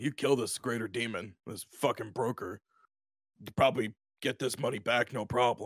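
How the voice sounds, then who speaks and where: Against a very clean recording with a silent background, a man uses a raspy put-on character voice at medium pitch, moderate pace and fairly even intonation. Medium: actual play. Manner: blunt, businesslike.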